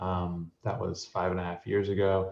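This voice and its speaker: A man with an American accent talks in a somewhat breathy voice. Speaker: software sales head. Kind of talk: webinar introduction.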